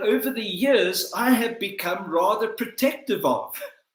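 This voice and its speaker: A man with a South African accent speaks in a high pitch. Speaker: motivational speaker. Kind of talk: motivational talk. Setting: livestream. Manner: formal.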